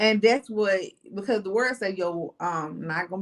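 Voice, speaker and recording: In a Southern US accent, a woman talks at a medium pitch. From Mississippi, US South. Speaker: insurance agent and business consultant. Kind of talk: interview.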